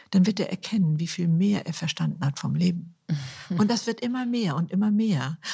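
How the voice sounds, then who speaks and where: Dark and mellow in tone and somewhat breathy, the voice moves at a moderate pace with ordinary pitch variation. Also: woman. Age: 70s. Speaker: author and influencer. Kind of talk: interview.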